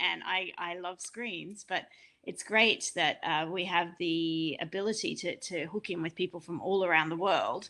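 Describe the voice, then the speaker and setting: Her voice, a woman's fairly low pitch with a bright, sharp tone, moves at a moderate pace with fairly even intonation. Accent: Australian. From Australia, rural Queensland. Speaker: panel moderator. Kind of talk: online panel discussion.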